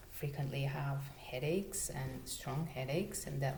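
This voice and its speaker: Speaking at a moderate pace with a non-native accent, a woman uses a very deep, low pitch over noticeable background noise. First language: not English. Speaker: natural living vlogger. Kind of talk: casual talk to camera. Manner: hesitant, stuttering.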